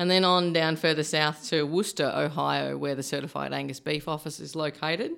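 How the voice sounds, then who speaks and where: A woman with an Australian accent speaks at a very deep, low pitch with vocal fry. Her intonation is fairly even, on a very clean recording with a silent background. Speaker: beef industry supply chain manager. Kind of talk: podcast interview. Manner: halting, many fillers.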